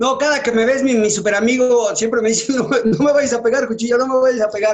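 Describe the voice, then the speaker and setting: A man is speaking. His pace is fairly quick. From Mexico City. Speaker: retired footballer. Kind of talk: interview.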